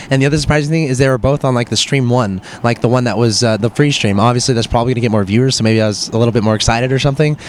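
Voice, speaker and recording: A man talks at a medium pitch with ordinary pitch variation. Noticeable background noise sits behind him. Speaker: esports caster. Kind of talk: interview. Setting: live gaming event. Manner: animated.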